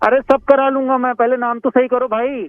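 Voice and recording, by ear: A man speaks in an extremely high pitch with little pitch movement at a moderate pace. The sound is dry and close with no echo.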